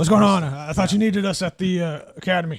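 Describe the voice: A man puts on a gravelly character voice, high in pitch. He talks at a very fast pace.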